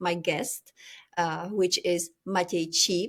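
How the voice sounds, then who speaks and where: On a very clean recording with a silent background, a woman speaks in a strong European accent. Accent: thick European. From Czech Republic. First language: Czech. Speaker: podcast host. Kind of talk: podcast interview.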